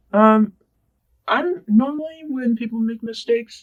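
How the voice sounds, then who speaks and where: An American accent comes through. The speech moves at a moderate pace. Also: man. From California. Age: young. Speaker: community college student. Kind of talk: oral history interview. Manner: halting.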